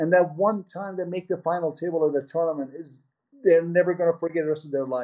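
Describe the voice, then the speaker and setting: A man's dark, mellow voice with an American accent, pitched high for a man, at a fairly quick pace. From Iran (Tehran), raised partly in Portland, Oregon as a teen. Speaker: poker TV producer. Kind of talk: interview. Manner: halting, frequent fillers.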